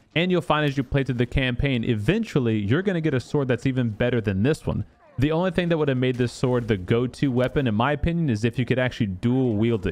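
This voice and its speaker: A man speaks in a plain, everyday voice at a medium pitch with ordinary pitch variation. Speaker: gaming YouTuber. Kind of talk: tutorial.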